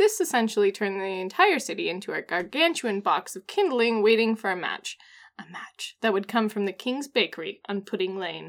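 In an ordinary speaking voice, a woman talks at a fairly quick pace with fairly high pitch and lively intonation, on a very clean recording with a silent background. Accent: American. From US Pacific Northwest. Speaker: podcast co-host. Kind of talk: casual chat.

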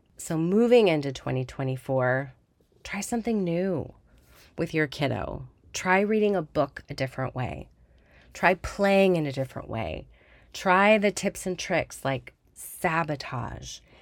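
A woman speaks with a plain, everyday voice, her pitch fairly low and her intonation lively. She talks at a fairly slow pace. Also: very clean recording, silent background. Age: 40s. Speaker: podcast host and speech therapist. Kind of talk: podcast monologue. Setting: recording in a closet. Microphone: new computer recording.

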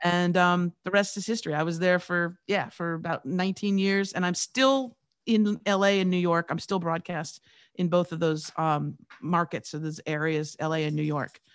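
This woman has a plain, everyday voice, pitched fairly low. She talks at a moderate pace with ordinary pitch variation. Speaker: radio personality and podcast coach. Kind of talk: podcast interview.

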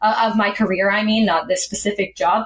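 Against noticeable background noise, a woman with a Canadian accent speaks in a fairly high voice. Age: 20s. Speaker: aircraft maintenance engineer. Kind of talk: interview.

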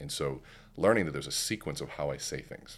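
A man speaks with a very deep, low pitch. Vocal fry runs through his voice. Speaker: keynote speaker and sales coach. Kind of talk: casual interview chat.

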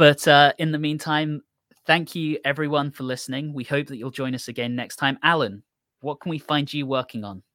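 Speaking with an English accent, a man with a fairly high pitch and a bright, sharp tone goes at a fairly quick pace with big swings in loudness, on a very clean recording with a silent background and a dry, close sound with no echo. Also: fairly even intonation. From England. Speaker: podcast co-host. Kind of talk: casual chat.

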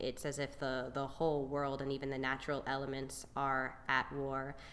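A woman speaks with an American accent at a very deep, low pitch. Audible room echo surrounds her voice. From North Carolina, Raleigh. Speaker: stage actor. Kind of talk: casual interview.

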